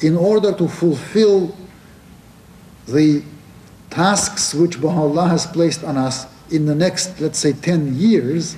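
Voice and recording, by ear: Slowly and with long, frequent pauses, a man speaks at a fairly high pitch in a dark, mellow tone. His pitch varies an ordinary amount, and audible room echo is present.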